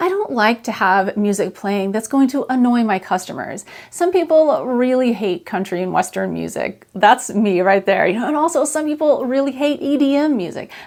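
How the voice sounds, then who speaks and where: Her pitch high and swinging very widely, a woman talks at a moderate pace with hardly any pauses. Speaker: artist teaching art fair selling. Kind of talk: tutorial. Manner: soft-spoken.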